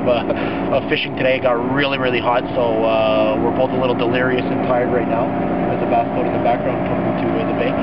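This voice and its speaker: Over loud background noise, a man talks at a very fast pace with hardly any pauses. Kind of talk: casual vlog chat. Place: boat. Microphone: camera far.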